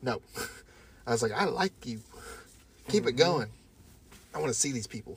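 A somewhat breathy man's voice with lively intonation. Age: 30s. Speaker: podcast co-host. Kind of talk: casual chat.

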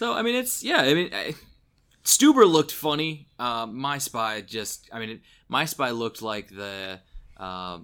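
On a very clean recording with a silent background, a man with a bright, sharp tone and medium pitch speaks at a fairly slow pace, his intonation lively and his loudness swinging widely. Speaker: podcast host. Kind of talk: casual chat, movie review discussion.

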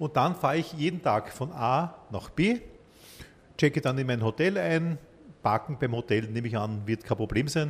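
A man's somewhat breathy voice at a moderate pace, with lively intonation and long, frequent pauses. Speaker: podcast host. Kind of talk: interview.

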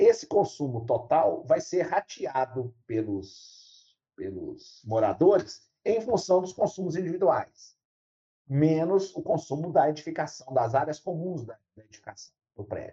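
This man's voice sits high for a man and has a dark, mellow tone, moving at a fairly slow pace with very wide pitch swings and big shifts in loudness. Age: 60s. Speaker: university professor. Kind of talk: interview.

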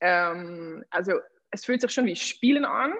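Lively intonation from a woman, delivered at a fairly slow pace. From Netherlands. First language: Dutch (speaking German). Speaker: pole dance athlete and trainer. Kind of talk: interview.

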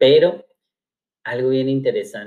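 This man's medium-pitched voice moves through very wide pitch swings at a fairly slow pace. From Mexico, Cuernavaca, Morelos. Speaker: pastor. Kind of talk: casual chat.

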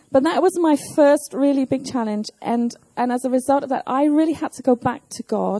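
At a moderate pace, a woman with a high pitch and ordinary pitch variation speaks in a dry, close sound with no echo. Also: hardly any pauses. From southern England. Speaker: pastor. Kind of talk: sermon. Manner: measured, pausing for interpreter.

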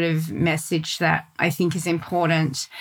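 A woman with an Australian accent, a bright, sharp tone and a fairly slow pace. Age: 50s. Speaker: podcast co-host. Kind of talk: casual chat.

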